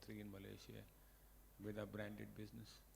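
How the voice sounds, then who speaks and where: With audible room echo around him, a man talks at a very fast pace. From India. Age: 60s. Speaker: company executive. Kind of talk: speech. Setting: award ceremony with audience. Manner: unscripted, conversational.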